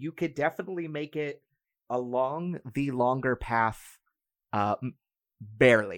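Recorded with a dry, close sound and no echo, a man talks at a fairly slow pace and a medium pitch. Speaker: game master. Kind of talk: tabletop roleplaying game session, narrating and chatting.

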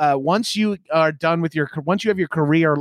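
A man talks at a fairly quick pace with lively intonation and a Long Island accent. The recording is very clean with a silent background, and the sound is dry and close with no echo. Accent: New York, Long Island. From Long Island, New York. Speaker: comedian and podcaster. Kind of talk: casual interview chat. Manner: animated, laughing, casual.

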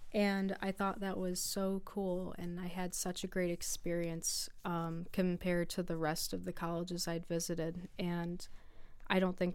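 A woman with an American accent, fairly low in pitch, with monotone, flat intonation. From US, western New York (East Aurora near Buffalo). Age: 20s. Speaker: college student athlete. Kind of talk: casual chat. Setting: radio studio.

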